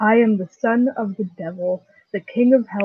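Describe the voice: Someone does plain reading aloud against a quiet background.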